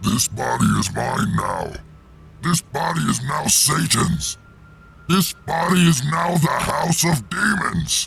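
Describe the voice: A man puts on a character voice with a menacing tone. He delivers it at a fairly slow pace.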